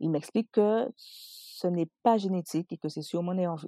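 The woman's voice sounds dry and close, with no echo. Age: 30s. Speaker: entrepreneur and mother. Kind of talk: personal testimony.

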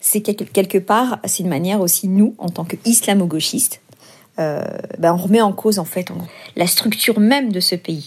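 A woman's somewhat breathy, medium-pitched voice at a moderate pace, broken by long, frequent pauses. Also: ordinary pitch variation. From France. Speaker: activist. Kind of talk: testimony. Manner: halting.

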